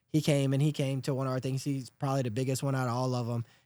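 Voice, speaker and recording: A man with a strong Louisiana accent talks very fast in a fairly high pitch. The recording is very clean, with a silent background. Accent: thick Louisiana. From South Louisiana. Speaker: podcast host. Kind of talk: casual chat. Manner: animated.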